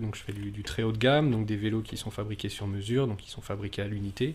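Talking at a very fast pace, this man keeps a medium pitch and uses ordinary pitch variation. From France, Nantes area. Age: 30s. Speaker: engineer and bicycle maker. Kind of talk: interview testimony.

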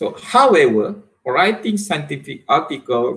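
A man with a Malaysian accent, fairly slow in pace, with very wide pitch swings, against a quiet background. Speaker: university lecturer and researcher. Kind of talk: academic presentation. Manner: hesitant, frequent fillers. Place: home room. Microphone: webcam.

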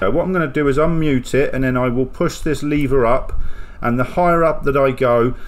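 A man speaks at a fairly quick pace, at a medium pitch with ordinary pitch variation.

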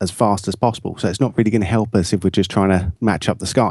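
Speaking in an English accent at a fairly quick pace, the voice has a dark, mellow tone. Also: man, quiet background. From England. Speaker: post-production colorist and video editor. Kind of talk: software tutorial. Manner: casual, with frequent fillers.

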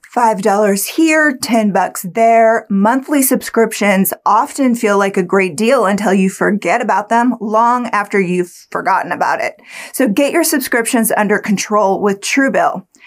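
A woman's fairly high voice, an ordinary speaking voice, with lively intonation, very even loudness, a fairly slow pace and hardly any pauses, on a very clean recording against a silent background. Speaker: sponsor ad reader. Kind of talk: sales pitch.

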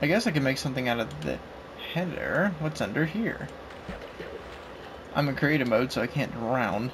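The speech has lively intonation and a moderate pace broken by long, frequent pauses, with audible room echo and noticeable background noise. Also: man, medium pitch for a man. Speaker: gaming youtuber. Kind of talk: gameplay commentary. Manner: halting, many fillers.

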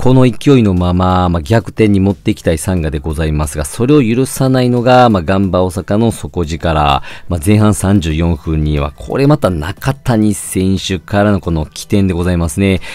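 Over noticeable background noise, a man with a very deep, low voice speaks at a moderate pace with lively intonation and hardly any pauses. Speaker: football channel host. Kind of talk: solo match review. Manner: many fillers, polite formal phrasing.

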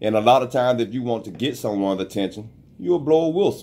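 This man's intonation is lively. He talks with a Southern US accent. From US South. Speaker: online radio show host. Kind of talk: casual chat. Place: studio. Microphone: studio mic.

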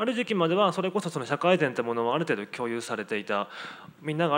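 A man's voice with lively intonation. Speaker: sociologist. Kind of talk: panel discussion. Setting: stage with audience. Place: hall. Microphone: handheld.

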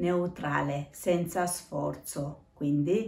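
Room echo is audible as a woman speaks with a very deep, low pitch. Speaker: self-help vlogger. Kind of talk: casual vlog talk about self-improvement. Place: home room. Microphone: phone near.

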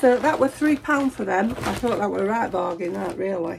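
A woman speaks at a moderate pace and medium pitch, her slightly mellow tone carrying vocal fry, a husky, rough edge and lively intonation.

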